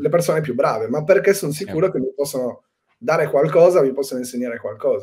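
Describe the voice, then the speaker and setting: A dark, mellow tone marks a man's fairly high voice. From Sardinia, Cagliari; Sardinia, Italy. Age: 30s. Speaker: spearfisherman and excursion guide; excursion guide. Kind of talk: casual interview. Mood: relaxed, reflective.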